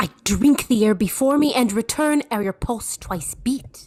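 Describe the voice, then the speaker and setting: In a put-on character voice, a female-sounding speaker growls at a fairly high pitch and a moderate pace. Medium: audio drama.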